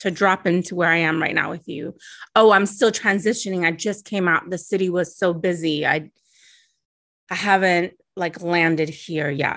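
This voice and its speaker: Against a quiet background, a woman with a normal speaking voice and a fairly low pitch talks at a moderate pace with fairly even intonation. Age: 40s. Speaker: guest. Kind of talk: casual interview. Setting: video call.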